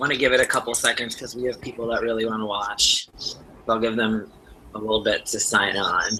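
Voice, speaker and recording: Speech comes with a Wisconsin accent at a fairly quick pace. Noticeable background noise runs underneath. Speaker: game show host. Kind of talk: hosting an online game show.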